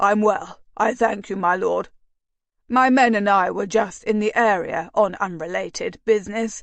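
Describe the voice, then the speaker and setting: Using a raspy, put-on character voice at a medium pitch, a woman speaks at a moderate pace with fairly even intonation over a quiet background. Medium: read story. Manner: deferential, ingratiating.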